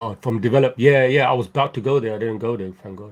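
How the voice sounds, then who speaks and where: A man talks at a very fast pace with ordinary pitch variation. His medium-pitched voice is somewhat breathy. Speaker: animator. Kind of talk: Q&A session. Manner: casual, hesitant.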